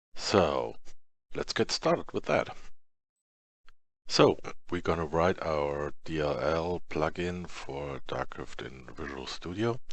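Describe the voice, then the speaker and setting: A man with vocal fry speaks at a very slow pace in a very deep, low pitch, with ordinary pitch variation and long, frequent pauses. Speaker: software tutorial creator. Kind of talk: tutorial. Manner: halting, many fillers.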